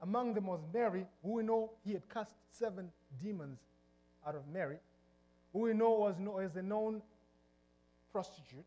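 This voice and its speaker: A man with a Zimbabwean accent speaks at a moderate pace in a high, dark and mellow voice, with ordinary pitch variation and long, frequent pauses. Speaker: pastor. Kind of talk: sermon. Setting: church.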